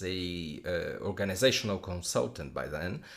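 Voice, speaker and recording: Here a man speaks with a non-native accent. His pace is moderate. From Brazil, São Paulo. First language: Portuguese. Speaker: enneagram teacher. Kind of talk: podcast conversation. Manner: hesitant, many fillers.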